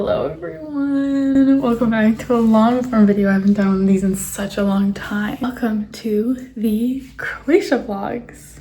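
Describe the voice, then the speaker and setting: Over noticeable background noise, a woman with a fairly high voice speaks fairly slowly with ordinary pitch variation and hardly any pauses. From Canada. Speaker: travel vlogger. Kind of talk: casual vlog narration. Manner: animated; whispering.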